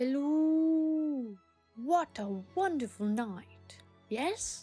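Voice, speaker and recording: A cartoonish character voice, high-pitched and very slow, with faint music in the background. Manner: upbeat, cheerful.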